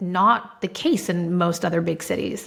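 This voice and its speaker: A woman with a Spanish accent talks at a medium pitch. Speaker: marketing executive and entrepreneur. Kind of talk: interview conversation. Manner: animated.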